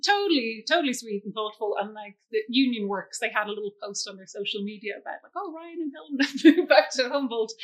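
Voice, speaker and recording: Speaking very fast with an Irish accent and hardly any pauses, the voice has lively intonation and big swings in loudness. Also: woman, fairly high pitch for a woman. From Ireland. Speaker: school scholarship coordinator. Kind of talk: interview.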